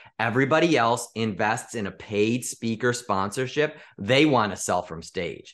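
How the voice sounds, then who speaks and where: A man with an American accent has an unremarkable speaking voice at medium pitch, with ordinary pitch variation. He talks at a moderate pace with hardly any pauses, over a quiet background. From US Midwest, Chicago area. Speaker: sales mentor and speaker. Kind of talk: podcast interview.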